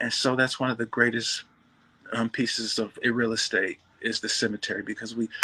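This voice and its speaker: Speaking at a fairly quick pace, a man with an American accent keeps a medium pitch and a monotone, flat intonation. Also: dry, close sound with no echo. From Michigan, US Midwest. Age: 60s. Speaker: bodybuilder. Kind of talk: interview.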